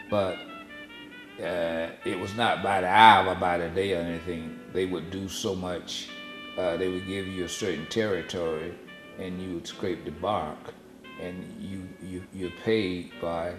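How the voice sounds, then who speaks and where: With music in the background, a man with a Southern US accent speaks in a very deep, low voice at a fairly slow pace and with fairly even intonation. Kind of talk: family oral history recollection. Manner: conversational, hesitant.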